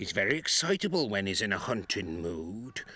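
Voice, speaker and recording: A put-on character voice with very wide pitch swings unfolds at a fairly slow pace on a very clean recording with a silent background. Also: man. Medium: audio drama. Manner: put-upon, grumbling.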